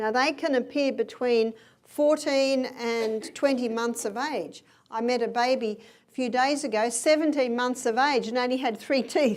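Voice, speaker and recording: Speaking at a fairly slow pace, the woman has a high pitch. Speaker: health educator. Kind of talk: health lecture. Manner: animated.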